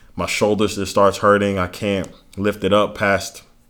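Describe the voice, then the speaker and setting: A man with an American accent speaks at a moderate pace. His is an ordinary speaking voice, fairly low in pitch. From US South, Miami, Florida. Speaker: former college football player. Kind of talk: testimony.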